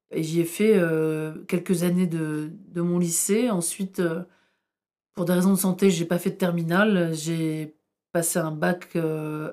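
On a very clean recording with a silent background, a woman speaks fairly slowly with fairly even intonation in a fairly low, dark, mellow tone. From northern France, Tourcoing. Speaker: historian. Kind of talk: interview.

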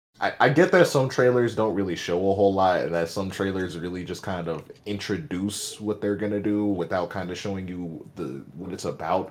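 A man's plain, everyday voice, fairly low-pitched with ordinary pitch variation, at a moderate pace with hardly any pauses and big swings in loudness. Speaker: podcast co-host. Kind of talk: casual chat.

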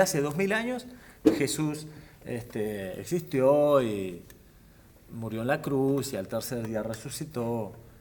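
A man at a fairly slow pace with a Rioplatense accent. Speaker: professional boxer. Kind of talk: casual chat.

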